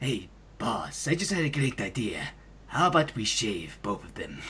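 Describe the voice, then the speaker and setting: Put-on character voice from a man at a medium pitch, with clear background noise. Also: moderate pace. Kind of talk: comic impression. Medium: fan dub.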